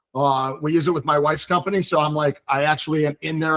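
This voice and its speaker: A man delivers his words at a fairly quick pace in a fairly high, flat monotone, the sound dry and close with no echo. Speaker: mortgage broker. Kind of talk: online presentation. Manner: fast.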